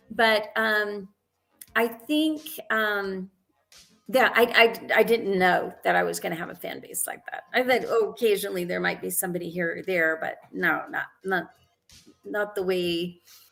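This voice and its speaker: Over music in the background, a woman talks at a fairly slow pace and medium pitch, with ordinary pitch variation and big swings in loudness. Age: 60s. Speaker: actress and film director. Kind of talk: interview.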